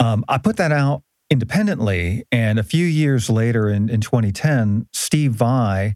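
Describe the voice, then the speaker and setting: In an unremarkable speaking voice, a man talks fairly slowly at a medium pitch, with lively intonation and very even loudness. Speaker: musician. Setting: studio. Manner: joking, playful.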